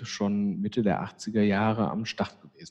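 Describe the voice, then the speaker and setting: A man speaks at a very slow pace and fairly low pitch. His tone is dark and mellow. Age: 50s. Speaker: psychiatrist, chair of a community psychiatry association. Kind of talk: interview.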